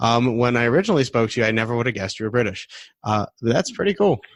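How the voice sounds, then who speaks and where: Very fast, a man speaks with a Midwestern accent. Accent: American Midwest. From US Midwest, Detroit. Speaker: podcast host. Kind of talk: casual interview.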